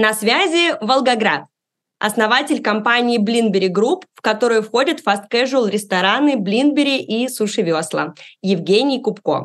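Against a quiet background, a woman speaks at a fairly slow pace in a fairly high voice. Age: 30s. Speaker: podcast host. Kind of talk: scripted narration; interview.

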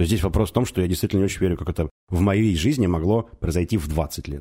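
Over a silent background in a very clean recording, a man speaks at a fairly quick pace in a very deep, low voice that is dark, mellow and somewhat breathy, with ordinary pitch variation. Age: 30s. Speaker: divorced father. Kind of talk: casual chat.

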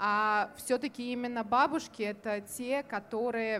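The voice belongs to a woman. It sits at a fairly high pitch. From Kazan, Tatarstan. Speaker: culturologist. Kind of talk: open panel discussion. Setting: live recording at a festival. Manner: hesitant, many fillers.

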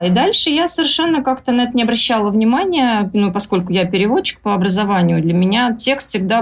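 A woman speaks at a fairly quick pace with a medium pitch and lively intonation. Her voice is somewhat breathy, and her loudness stays very even. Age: 40s. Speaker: blogger and writer. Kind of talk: podcast interview.

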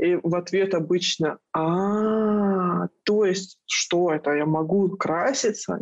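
Speaking at a very slow pace with hardly any pauses, a woman keeps a medium pitch, fairly even intonation and very even loudness. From Dagestan, Makhachkala. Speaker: art director and feminist blogger. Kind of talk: casual interview chat.

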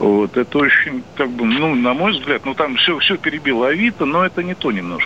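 The speech moves at a moderate pace with very wide pitch swings and hardly any pauses. Noticeable background noise is present. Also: man, fairly high pitch for a man. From Moscow, Russia. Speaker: caller, realtor. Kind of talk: phone-in call. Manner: hesitant, many fillers.

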